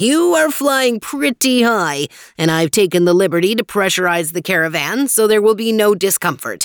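Someone performs a put-on character voice on a very clean recording with a silent background. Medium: read story. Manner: cheerful, grandfatherly lecturing.

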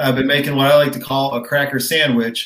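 A man's normal speaking voice at medium pitch and a fairly quick pace. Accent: American. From Rochester, New York. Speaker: kayak tournament angler. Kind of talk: casual chat.

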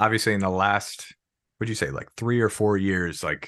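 A man with an American accent speaks at a very deep, low pitch with ordinary pitch variation. His tone is bright and sharp against a quiet background. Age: 30s. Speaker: podcast host. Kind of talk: casual interview.

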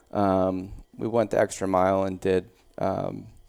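With a Midwestern US accent, a man speaks at a fairly low pitch in a dark, mellow tone. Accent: US Midwest. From Iowa, Des Moines area (moved from Pittsburgh area as a child). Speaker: gym owner and former baseball player. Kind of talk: casual interview. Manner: hesitant fillers.

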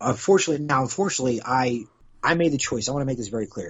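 A man speaks with ordinary pitch variation. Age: 40s. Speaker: podcast host and former wrestler. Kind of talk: casual interview chat. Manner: halting, repetitive phrasing.

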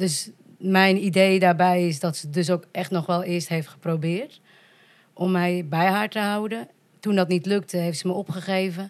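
At a fairly slow pace, a woman uses an ordinary speaking voice of medium pitch with fairly even intonation. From Netherlands, Volendam. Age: 30s. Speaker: podcast guest, adoptee from Colombia. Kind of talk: casual chat.

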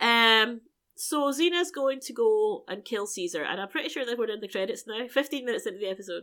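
A woman speaks in a British accent with a high pitch and a bright, sharp tone, on a very clean recording with a silent background. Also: lively intonation. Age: 40s. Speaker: podcast co-host. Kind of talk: casual chat.

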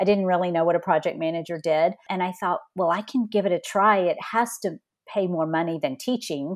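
A woman with a Texan accent, fairly low in pitch, with ordinary pitch variation over a quiet background. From Southeast Texas, near Louisiana. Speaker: human resources executive. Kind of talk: interview conversation.

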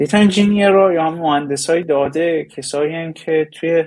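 This man's voice has a fairly high pitch. He speaks at a moderate pace. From Iran. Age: 20s. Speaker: data engineer. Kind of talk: interview. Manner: halting.

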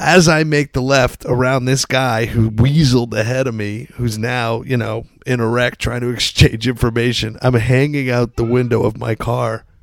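A man with an unremarkable speaking voice, at a fairly slow pace. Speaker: podcast co-host. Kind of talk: casual ad and intro. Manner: loose, profane.

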